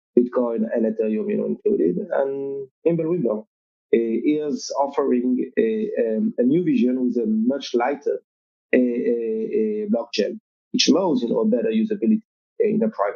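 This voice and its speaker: A man with a French accent, fairly high-pitched, at a moderate pace, with very wide pitch swings and big jumps in loudness. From Europe. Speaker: crypto company marketing executive. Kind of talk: podcast interview. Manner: halting, many fillers.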